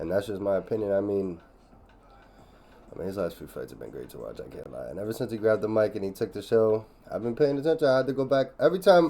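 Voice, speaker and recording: A man talks at a very fast pace. His tone is dark and mellow. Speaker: MMA reaction YouTuber. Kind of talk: casual commentary. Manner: halting.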